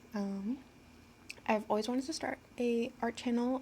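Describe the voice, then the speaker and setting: A woman's somewhat breathy, shaky voice has a dark, mellow tone and ordinary pitch variation. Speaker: art channel creator. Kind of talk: casual voice-over tutorial. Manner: halting, many filler ums. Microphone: low quality recording.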